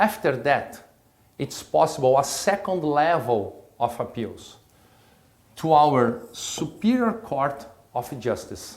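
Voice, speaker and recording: With a Brazilian accent, a man talks at a very slow pace, his pitch swinging very widely, as room echo is audible. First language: Portuguese. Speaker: state prosecutor and law professor. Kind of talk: lecture. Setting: recorded lecture at his institution. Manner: halting.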